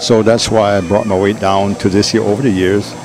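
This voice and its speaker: This man's voice sits fairly low and moves at a fairly quick pace. Background noise is noticeable behind him. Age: 70s. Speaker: masters bodybuilder. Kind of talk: interview answer.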